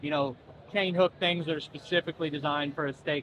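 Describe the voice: Here a man speaks with a fairly high pitch. His tone is fairly bright and his intonation fairly even.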